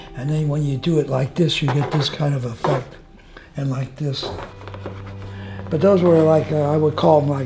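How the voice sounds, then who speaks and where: With an American accent and a fairly high pitch, a man speaks at a moderate pace with fairly even intonation, long, frequent pauses and noticeable background noise. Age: 90s. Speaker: retired painter and war veteran. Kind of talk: casual interview.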